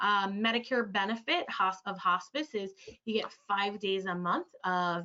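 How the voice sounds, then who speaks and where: A woman speaks at a medium pitch with fairly even intonation in a normal speaking voice. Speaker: clinical social worker. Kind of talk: webinar presentation. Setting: online webinar.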